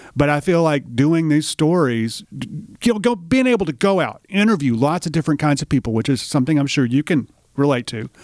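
A man with a Tennessee accent talks at a fairly quick pace with hardly any pauses, a fairly high pitch and lively intonation. His voice sounds dry and close with no echo on a very clean recording with a silent background. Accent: Southern US (Tennessee). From Middle Tennessee, US South. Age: 50s. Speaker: writer, filmmaker and musician. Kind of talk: casual interview. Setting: on-location recording studio.

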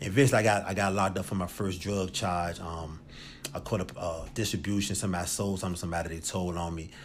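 In a room with audible echo, a man with a very deep, low voice talks at a very fast pace and fairly even intonation. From Richmond, Virginia. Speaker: former prisoner in recovery. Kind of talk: testimony.

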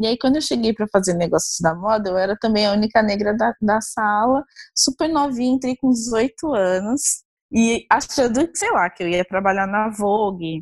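Somewhat breathy and fairly high-pitched, a woman talks at a moderate pace with ordinary pitch variation, the sound dry and close with no echo. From Brazil, Osasco, Greater São Paulo. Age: 20s. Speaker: fashion researcher. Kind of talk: interview. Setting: remote call.

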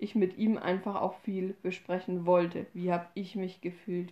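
A woman's dark, mellow voice holds a flat, monotone intonation. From Upper Franconia, Bavaria. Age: 20s. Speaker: podcast host. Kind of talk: casual chat.

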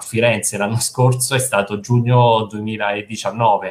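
Monotone, flat intonation from a man at medium pitch. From central Italy, province of Frosinone (Lazio). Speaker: fundraising and marketing manager at a charity. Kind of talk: video call interview. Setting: video call from home. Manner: calm.

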